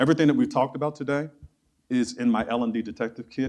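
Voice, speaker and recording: With an animated tone, a man talks in an American accent. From Chicago, US Midwest. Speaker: keynote speaker on learning and development. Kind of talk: conference keynote talk. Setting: stage with live audience.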